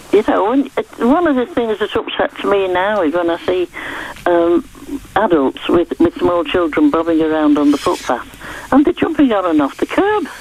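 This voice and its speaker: Over noticeable background noise, a woman speaks at medium pitch with very wide pitch swings. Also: moderate pace. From northern England. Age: 80s+. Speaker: caller. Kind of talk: radio phone-in call.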